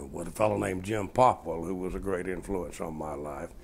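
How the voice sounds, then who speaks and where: A man with a Georgia accent speaks at a moderate pace. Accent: southern US (Georgia). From south Georgia, US. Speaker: former congressman. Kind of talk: oral history interview. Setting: at home.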